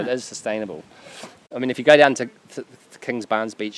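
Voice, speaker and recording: With a New Zealand accent, a man speaks in fairly even intonation. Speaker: seaweed harvester. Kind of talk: interview answer. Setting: outdoors.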